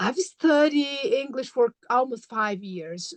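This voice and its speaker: A woman with a Brazilian accent, her fairly slow delivery full of very wide pitch swings. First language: Portuguese. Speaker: graduate student and mother. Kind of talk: interview. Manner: halting, many fillers.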